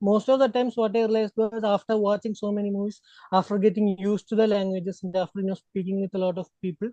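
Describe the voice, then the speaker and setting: A man's high pitch with a non-native accent, a dark, mellow tone and monotone, flat intonation, dry and close with no echo. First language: not Hindi. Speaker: podcast panelist. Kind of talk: casual chat.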